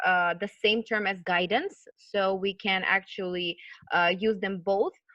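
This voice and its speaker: A woman with a plain, everyday voice speaks at a fairly slow pace with fairly even intonation. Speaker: college program manager and counselor. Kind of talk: online lecture / webinar.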